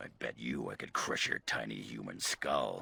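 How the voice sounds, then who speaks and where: Growling, a man puts on a character voice at a moderate pace. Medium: video game. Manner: gruff, crude.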